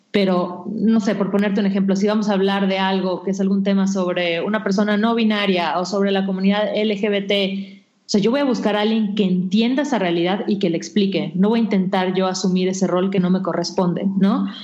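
A woman speaks fairly quickly with hardly any pauses, keeping a medium pitch, monotone, flat intonation and very even loudness, while audible room echo and noticeable background noise fill the recording. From Mexico, Yucatán (Mérida). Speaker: digital magazine founder and editor. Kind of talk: interview.

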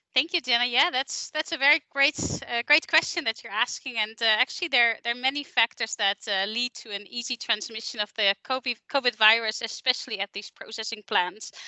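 A woman with a European accent speaks at a high pitch, her pitch varying in an ordinary way. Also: fairly quick pace, hardly any pauses. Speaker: account manager. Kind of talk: professional interview discussion.

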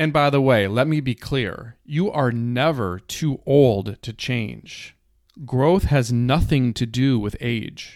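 Speaking very slowly with an American accent, a man uses a medium pitch and ordinary pitch variation on a very clean recording with a silent background. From rural Minnesota, US. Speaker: podcast host, author and poet. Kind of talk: solo podcast monologue.

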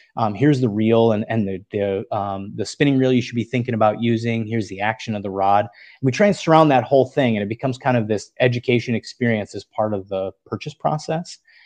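With an American accent, a man of medium pitch talks at a very fast pace with hardly any pauses over a quiet background. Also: ordinary pitch variation. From US Upper Midwest, northern Wisconsin. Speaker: co-founder of an online tackle retailer. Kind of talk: podcast interview.

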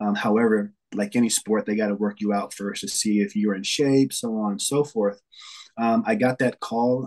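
A man with an American accent and a normal speaking voice, medium pitch, fairly even intonation, fairly quick pace, and a quiet background. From New York City. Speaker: athletic performance coach. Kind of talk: casual interview.

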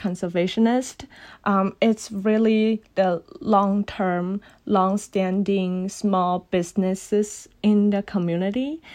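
Speaking very slowly in a Cantonese accent, a woman keeps a medium pitch, fairly even intonation and very even loudness against a quiet background. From China, Guangdong. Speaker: recent graduate student in heritage conservation. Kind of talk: interview.

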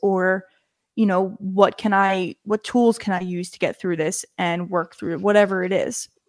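The recording is very clean with a silent background. A woman speaks at a medium pitch with fairly even intonation. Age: 20s. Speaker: podcast co-host. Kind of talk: casual chat.

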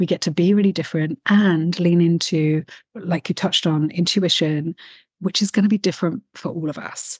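A woman's somewhat breathy voice, fairly low in pitch with fairly even intonation, at a moderate pace and in a dry, close sound with no echo. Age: 40s. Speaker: spiritual coach and mystic artist. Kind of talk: casual interview chat.

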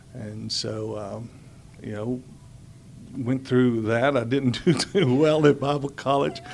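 A man with an American accent speaks at a medium pitch with ordinary pitch variation, very slowly, with long, frequent pauses. His loudness swings widely over noticeable background noise. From Houston, Texas. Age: 40s. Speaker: school staff and pastor. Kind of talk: interview.

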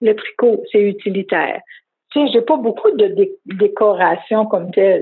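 This woman has a Quebec accent and a fairly high-pitched voice. She talks at a moderate pace with ordinary pitch variation. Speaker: craftswoman. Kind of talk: interview. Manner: halting.

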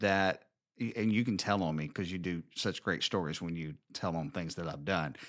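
A man with a Southern US accent speaks at a moderate pace in a very clean recording with a silent background. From US South, Alabama. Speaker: podcast host, married couple show. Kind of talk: casual conversational podcast chat.

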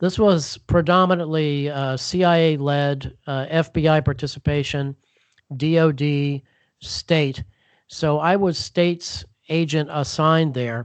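A man with an American accent talks at a fairly slow pace in a fairly high pitch. He has a plain, everyday voice with fairly even intonation. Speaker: former counterterrorism agent and author. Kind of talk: interview.

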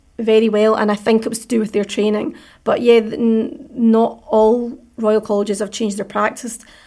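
This voice has a Scottish accent, a dark, mellow tone and a monotone, flat intonation. It moves at a moderate pace in a very clean recording with a silent background. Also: woman. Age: 40s. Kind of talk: interview.

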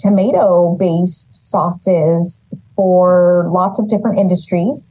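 Somewhat breathy, a woman speaks at a medium pitch with an American accent. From California Central Valley, Los Banos. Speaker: city economic development director. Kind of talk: interview.

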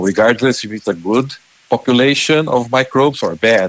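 Ordinary pitch variation marks a man's medium-pitched voice as he speaks at a moderate pace with a Portuguese accent. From Brazil. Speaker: animal nutrition specialist. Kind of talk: interview.

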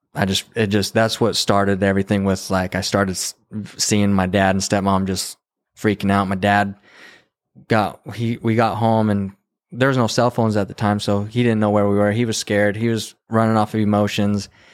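A man speaks with an American accent at a fairly low pitch. His intonation is monotone and flat, and his loudness stays very even. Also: moderate pace, very clean recording, silent background. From New Mexico, US Southwest. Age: 30s. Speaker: videographer and former bull rider. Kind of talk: casual interview conversation. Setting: in person, motel room.

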